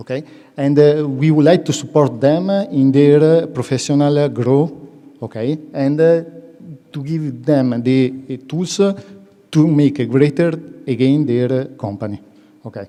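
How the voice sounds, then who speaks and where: A man with an Italian accent talks at a moderate pace with a fairly high pitch and ordinary pitch variation. Long, frequent pauses break up his speech over noticeable background noise. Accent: Italian accent, self-described as horrible. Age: under 45. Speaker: business association representative. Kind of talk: presentation at an event. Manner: halting, many fillers.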